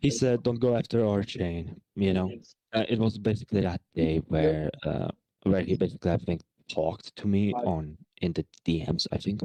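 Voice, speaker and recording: This man's voice has a fairly low pitch, ordinary pitch variation, a dark, mellow tone and very even loudness, recorded with a dry, close sound and no echo. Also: moderate pace. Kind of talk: heated debate. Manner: halting.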